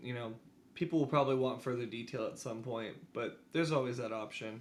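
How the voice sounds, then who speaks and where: This man talks loud with a bright, sharp tone. His intonation is lively. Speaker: podcast cohost. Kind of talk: testimony.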